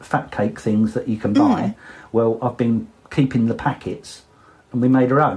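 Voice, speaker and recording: In an Essex accent, a man speaks at a medium pitch. His tone is dark and mellow, and his pace is moderate. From Essex, England. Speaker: birder. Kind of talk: interview answer.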